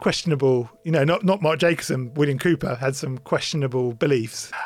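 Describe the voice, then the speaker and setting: Music plays in the background. The speech has ordinary pitch variation and a moderate pace. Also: man. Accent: English. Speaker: podcast host. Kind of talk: casual chat.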